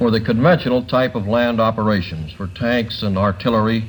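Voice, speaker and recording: Over noticeable background noise, a man with an American accent talks at a fairly quick pace, his fairly low voice showing ordinary pitch variation. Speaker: NBC commentator, panel journalist. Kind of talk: television interviewer question.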